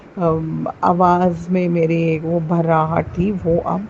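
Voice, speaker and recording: A woman speaks with noticeable background noise. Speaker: teacher sharing devotional experience. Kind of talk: testimony. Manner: hesitant with fillers, Hindi-English code-switching.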